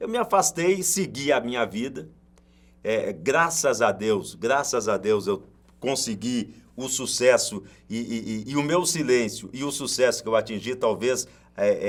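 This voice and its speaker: Here is a man with an unremarkable speaking voice at medium pitch. His intonation is lively and his pace fairly slow. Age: 60s. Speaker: sports commentator, radio broadcaster. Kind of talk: casual interview chat.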